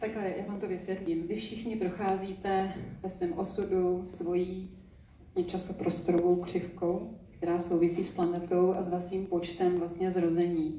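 Her intonation is monotone and flat. The woman's voice carries audible room echo and noticeable background noise. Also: medium pitch for a woman, moderate pace. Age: 60s. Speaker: spiritual teacher. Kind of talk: public interview on stage. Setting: stage with audience.

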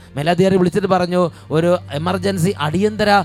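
Pitched high, a man talks with fairly even intonation while noticeable background noise fills the recording. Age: old. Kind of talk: sermon; charismatic prayer. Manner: fervent, loud praise; repetitive exclamations.

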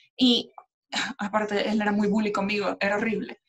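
Here is a woman with an ordinary speaking voice. She talks at a moderate pace with a fairly high pitch. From Venezuela, Maracaibo. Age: 30s. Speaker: podcast co-host. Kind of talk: casual chat.

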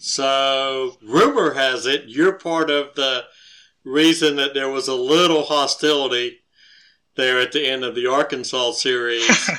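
A man with a Southern US accent, fairly high in pitch, bright and sharp in tone, at a fairly slow pace with fairly even intonation. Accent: Southern American. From Georgia. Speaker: podcast co-host, parent. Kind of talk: casual interview.

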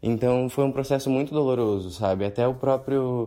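At a moderate pace, a man speaks in a plain, everyday voice at medium pitch. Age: 20s. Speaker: listener sending a question. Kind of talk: recorded voice message. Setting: pre-recorded audio message played on the show.

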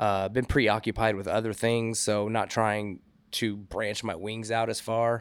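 Here is a man with a normal speaking voice and a medium pitch, going at a fairly slow pace. The recording is very clean, with a silent background. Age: 30s. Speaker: DJ and sound engineer. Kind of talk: casual chat. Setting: bar lounge.

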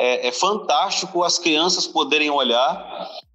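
With ordinary pitch variation, the man talks at a fairly slow pace. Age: 30s. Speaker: pastor. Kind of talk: casual chat.

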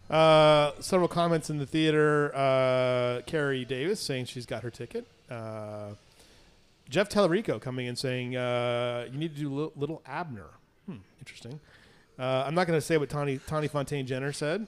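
In a plain, everyday voice, this man holds a fairly high pitch, varying it in an ordinary way. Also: moderate pace. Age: 50s. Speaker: local news show host. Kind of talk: casual chat.

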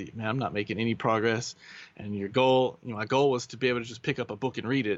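Fairly even intonation from a man at medium pitch. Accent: Kentucky. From US Kentucky. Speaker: translator. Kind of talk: casual interview.

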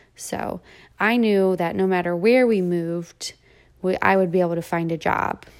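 With an American accent, a woman talks at a moderate pace and medium pitch with fairly even intonation, an ordinary speaking voice. The recording is very clean with a silent background. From Delaware, US Mid-Atlantic. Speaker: podcast host, operating room nurse. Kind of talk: personal monologue podcast. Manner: casual.

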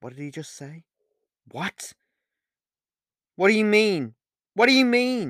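A man's put-on character voice, high-pitched and slow, with big pitch swings, a fairly bright tone, and a dry, close sound with no echo in a very clean recording with a silent background

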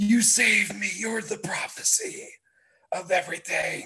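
This put-on character voice is raspy and fairly high in pitch, delivered at a moderate pace. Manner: over the top, goofy.

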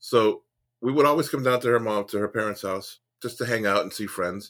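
An ordinary speaking voice at a fairly quick pace, with ordinary pitch variation, in a very clean recording with a silent background. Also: man. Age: 50s. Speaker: comedian and former Marine. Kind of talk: casual storytelling interview.

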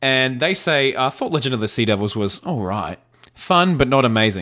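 A man with an Australian accent speaks at a moderate pace in a playful tone. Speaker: podcast host and YouTuber. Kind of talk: casual banter chat. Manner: jokey, playful.

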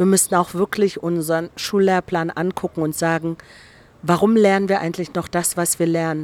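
With a fairly low pitch, a woman speaks in a monotone, flat way at a moderate pace. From East Germany (GDR). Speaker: director of a democracy institute. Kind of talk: casual interview. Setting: restaurant garden.

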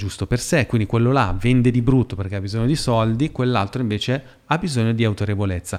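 On a very clean recording with a silent background, an ordinary speaking voice shows ordinary pitch variation. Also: man. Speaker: podcast host. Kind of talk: casual chat.

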